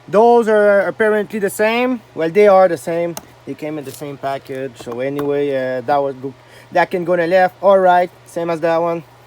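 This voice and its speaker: A man with a French Canadian accent, high in pitch, at a moderate pace and with ordinary pitch variation. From Quebec. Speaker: mechanic youtuber. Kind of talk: tutorial. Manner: casual, halting with fillers.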